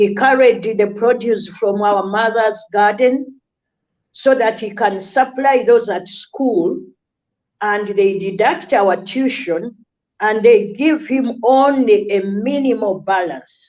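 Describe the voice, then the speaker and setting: At a very slow pace, a woman speaks with a fairly high pitch and ordinary pitch variation. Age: 60s. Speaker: charity founder. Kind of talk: interview testimony.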